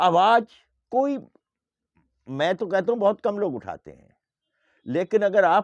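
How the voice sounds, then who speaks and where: A man's high voice, dry and close with no echo, over a quiet background. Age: 70s. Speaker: men's rights activist. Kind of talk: impassioned appeal to viewers. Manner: forceful, exhorting.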